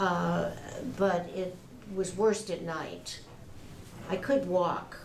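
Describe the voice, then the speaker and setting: Speaking at a very slow pace, a woman is heard over noticeable background noise with audible room echo. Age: 70s. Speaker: patient. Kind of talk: testimony. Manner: halting.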